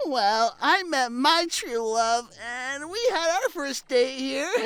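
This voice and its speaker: A put-on character voice delivers the lines at a very slow pace. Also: man, extremely high pitch for a man. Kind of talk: audio drama character dialogue. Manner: hesitant, stammering.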